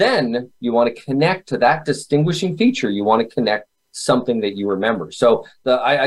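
A man talks at a fairly quick pace in a plain, everyday voice, medium in pitch, with ordinary pitch variation. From Canada. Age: 40s. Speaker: memory expert and author. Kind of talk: interview.

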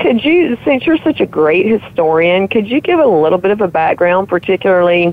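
This woman has an ordinary speaking voice at a fairly low pitch. Her intonation is lively. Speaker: radio show co-host. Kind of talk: casual conversation.

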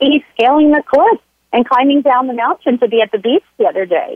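Lively intonation and a fairly quick pace mark this voice with an American accent. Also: woman. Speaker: occupational therapist and health coach. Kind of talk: interview conversation. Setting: phone call.

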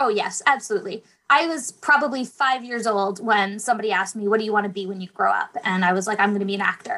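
A bright, sharp voice with a Canadian accent at a very fast pace, with hardly any pauses. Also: woman, fairly high pitch for a woman, ordinary pitch variation. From northern Ontario, Canada. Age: young. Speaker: youth theater director and author. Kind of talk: interview.

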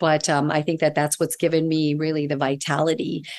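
A woman speaks in a very deep, low voice against a quiet background. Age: 60s. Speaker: integrative holistic nutritionist and author. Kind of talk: interview conversation.

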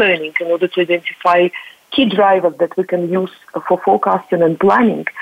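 With noticeable background noise behind her, a woman talks at a fairly quick pace. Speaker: company founder panelist. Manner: hesitant, many fillers.

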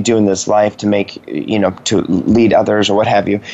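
An enthusiastic man with an American accent at a medium pitch and fairly quick pace, over noticeable background noise. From Washington State, US. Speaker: radio talk show host. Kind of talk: live radio interview. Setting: live radio studio.

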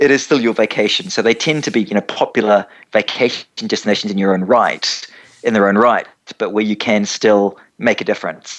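A man with a New Zealand accent speaks at a fairly quick pace, his fairly low voice showing ordinary pitch variation. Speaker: travel company founder. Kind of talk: radio interview. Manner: halting, repeats words.

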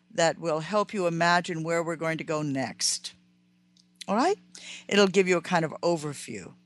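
Over a quiet background, a woman with a fairly low pitch speaks at a moderate pace with ordinary pitch variation and long, frequent pauses. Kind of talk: radio talk show monologue. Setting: radio studio broadcast. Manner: animated, explanatory, didactic.

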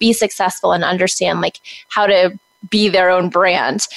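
A woman with an American accent speaks at a moderate pace, the sound dry and close with no echo. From Texas. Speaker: social media agency owner. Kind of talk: interview.

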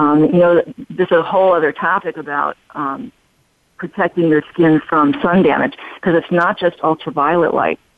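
A woman speaks in an ordinary speaking voice. Her pace is moderate and her pitch variation ordinary. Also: fairly low pitch for a woman. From Chicago, US Midwest. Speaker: plastic surgeon. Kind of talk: interview.

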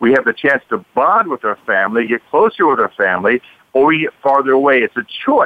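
Over a dry, close sound with no echo, a man at medium pitch talks at a fast pace with big pitch swings.

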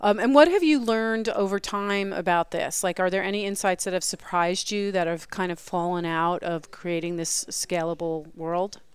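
A woman talks at a moderate pace and medium pitch, with ordinary pitch variation. It is a plain, everyday voice. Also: hardly any pauses. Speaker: radio host. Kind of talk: casual interview. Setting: conference, live broadcast.

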